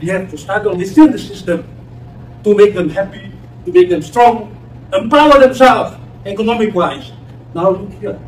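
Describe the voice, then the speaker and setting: A man with a high pitch and lively intonation talks with big swings in loudness and long, frequent pauses over noticeable background noise. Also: moderate pace. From West Papua. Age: 70s. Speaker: former independence movement official. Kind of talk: public debate remarks. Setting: university campus audience. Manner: emphatic; halting.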